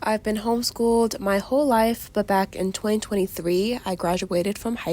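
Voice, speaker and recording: A woman with an American accent and an unremarkable speaking voice talks at a moderate pace in a medium pitch with ordinary pitch variation. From Virginia, US. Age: young. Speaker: crafter and small business owner. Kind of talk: casual chat while crafting.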